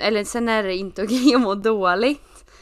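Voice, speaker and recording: An ordinary speaking voice at a moderate pace with ordinary pitch variation, over a quiet background. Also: woman. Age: 20s. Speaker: podcast co-host. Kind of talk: casual chat.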